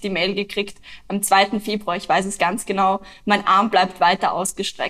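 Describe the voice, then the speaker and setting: The woman speaks at a moderate pace. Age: 20s. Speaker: climate activist. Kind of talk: interview.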